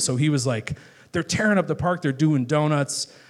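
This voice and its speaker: A man's normal speaking voice, fairly high in pitch, with ordinary pitch variation and a fairly quick pace. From Chicago, northwest side. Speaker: guest at a live talk show, viral poet and video maker. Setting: live stage in a bar. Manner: casual, chatty storyteller.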